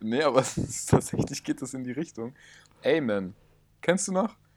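At a moderate pace, a man speaks at medium pitch. His pitch swings very widely. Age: 20s. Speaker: podcast co-host. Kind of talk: casual chat. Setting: in person, same room.

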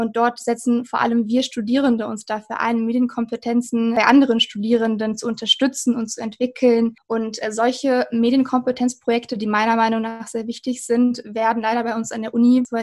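At a moderate pace with hardly any pauses, a woman speaks in a fairly high pitch and a flat monotone. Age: 20s. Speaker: university student. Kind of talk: interview about studying.

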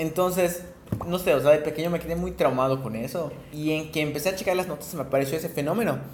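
Through audible room echo and noticeable background noise, a man with a fairly high pitch speaks at a very fast pace. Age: 20s. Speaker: podcast co-host. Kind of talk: casual chat.

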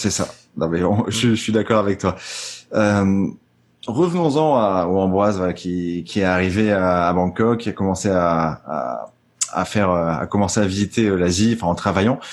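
The recording is very clean, with a silent background. A man speaks at a moderate pace in a very deep, low pitch with ordinary pitch variation. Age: 20s. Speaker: podcast host. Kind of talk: casual interview chat. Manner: halting, many repeated words.

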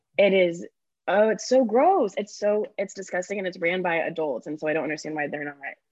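Using a normal speaking voice at a medium pitch, a woman talks fairly quickly with lively intonation. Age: 20s. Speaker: content creator and actress. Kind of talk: casual chat.

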